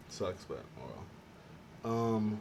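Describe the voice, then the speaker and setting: Noticeable background noise fills the recording. Through it, a man talks at a fairly low pitch. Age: 20s. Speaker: YouTuber. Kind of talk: casual vlog Q&A while eating. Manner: halting, repeats words.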